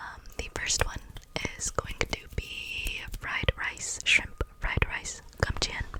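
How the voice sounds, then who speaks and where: The voice is a whisper, moving at a very slow pace. Noticeable background noise can be heard behind it. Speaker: ASMR creator. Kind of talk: ASMR personal attention roleplay. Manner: whispered.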